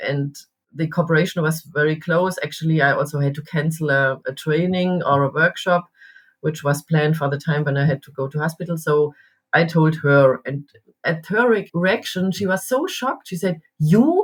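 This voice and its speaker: Somewhat breathy, a woman speaks at a moderate pace in a very deep, low pitch with ordinary pitch variation. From Baden, southern Germany. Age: 60s. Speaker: executive coach. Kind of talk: podcast interview. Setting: podcast recording.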